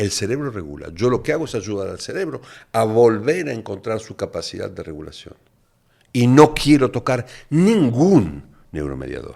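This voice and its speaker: A man's voice with vocal fry swings very widely in pitch on a very clean recording with a silent background. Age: 60s. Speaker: neuroscientist and addiction specialist. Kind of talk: podcast interview.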